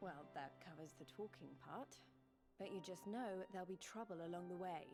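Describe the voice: Pitch shifts in an ordinary way here. The delivery is plain reading aloud.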